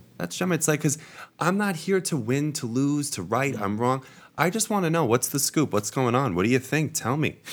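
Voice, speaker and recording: A man with an American accent speaks at a fairly quick pace, his fairly high pitch making very wide swings. The recording is very clean, with a silent background. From Long Island, New York. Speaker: astrologer. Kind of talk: casual chat.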